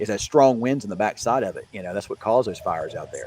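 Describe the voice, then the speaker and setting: Fairly quick speech with a Southern US accent. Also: man. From Mississippi, US South. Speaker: meteorologist. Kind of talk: casual livestream chat.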